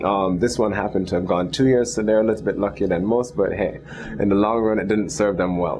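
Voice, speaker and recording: Speaking at a very fast pace, a man keeps his loudness very even and his pitch variation ordinary. Noticeable background noise is present. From Jamaica. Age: 30s. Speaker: entrepreneur. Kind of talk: interview.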